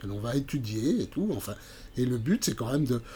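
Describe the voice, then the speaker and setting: The man's voice has a dark, mellow tone and is somewhat breathy. His intonation is lively. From France, Burgundy (Montceau-les-Mines area). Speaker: amateur painter and art workshop leader. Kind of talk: interview. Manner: halting, many repetitions and fillers.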